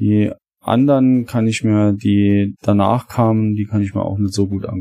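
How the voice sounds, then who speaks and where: In a plain, everyday voice, a man speaks at a moderate pace with fairly low pitch and fairly even intonation. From Saarland, Germany. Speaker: longtime listener, guest. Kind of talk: casual chat.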